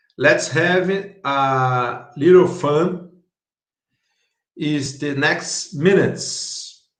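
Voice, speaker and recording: Speaking very slowly with long, frequent pauses, a man has a Brazilian Portuguese accent. His voice is fairly high, with ordinary pitch variation. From Brazil, Curitiba. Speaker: startup founder. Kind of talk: conference talk. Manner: halting.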